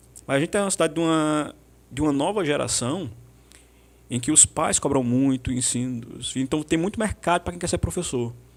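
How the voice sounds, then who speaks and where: With lively intonation, a man speaks at a fairly quick pace in a fairly high pitch. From Brazil, Pernambuco (Santa Cruz). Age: 40s. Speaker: history teacher. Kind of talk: podcast interview.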